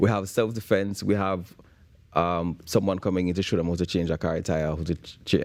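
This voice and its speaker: With a Jamaican accent, a man talks at a fairly quick pace in a very deep, low pitch with fairly even intonation against a quiet background. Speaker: bootcamp founder for young men. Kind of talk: morning show interview. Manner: hesitant, with repeated words.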